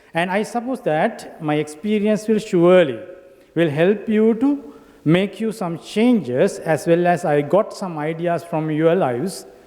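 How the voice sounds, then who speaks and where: A man with a Sri Lankan accent speaks at a fairly slow pace in a high voice with lively intonation. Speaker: academic and industry professional. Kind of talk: conference speech. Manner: halting.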